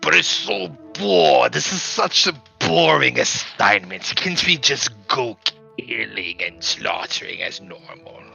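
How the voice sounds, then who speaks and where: Faint music plays behind a man doing a put-on character voice. He sounds guttural and fairly low-pitched, speaking fairly slowly. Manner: bored, complaining.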